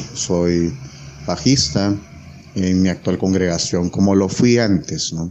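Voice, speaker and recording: A man's very deep, low voice at a fairly slow pace, with noticeable background noise. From Peru. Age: 30s. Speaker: software engineer, former meme page admin. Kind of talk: interview.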